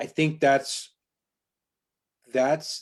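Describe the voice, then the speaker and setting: Speaking very slowly with an American accent, a man holds a medium pitch. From Long Island, New York. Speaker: real estate broker and podcast host. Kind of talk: casual chat. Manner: animated.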